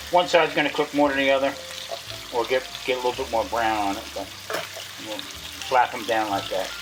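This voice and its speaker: Against music in the background, a man talks at a fairly quick pace but with long, frequent pauses. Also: medium pitch for a man, ordinary pitch variation. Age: 60s. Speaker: cooking channel host. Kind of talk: casual cooking tutorial. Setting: home kitchen. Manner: casual, halting with restarts.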